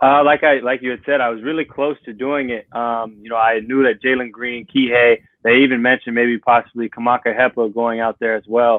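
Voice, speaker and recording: Speaking with an American accent and hardly any pauses, a man keeps a medium pitch and monotone, flat intonation. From Southern California, US. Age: 20s. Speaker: college basketball player. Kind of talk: interview.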